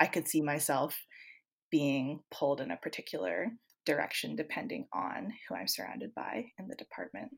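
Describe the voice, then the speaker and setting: With a Canadian accent and vocal fry, a woman speaks at a moderate pace and a very deep, low pitch, her pitch swinging very widely and her loudness rising and falling sharply, on a very clean recording with a silent background. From Canada. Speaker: Rhodes scholar, criminal justice worker. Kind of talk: interview.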